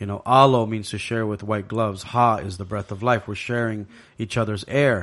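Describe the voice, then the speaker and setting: Against a quiet background, a man in a Hawaiian accent speaks at a moderate pace and fairly low pitch with fairly even intonation. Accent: Hawaiian local English. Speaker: app creator, pidgin expert. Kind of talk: casual chat.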